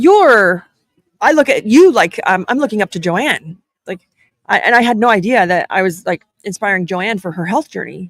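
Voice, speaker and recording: A woman at a medium pitch uses lively intonation in a plain, everyday voice, with a dry, close sound and no echo. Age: 40s. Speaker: podcast host and business owner. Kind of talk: casual live-stream chat. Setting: live stream at a conference. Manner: fast, filler-heavy.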